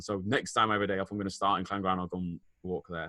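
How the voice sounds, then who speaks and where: A man with a northern English accent talking at a very fast pace. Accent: northern English twang. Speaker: podcast co-host, teacher. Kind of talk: casual chat.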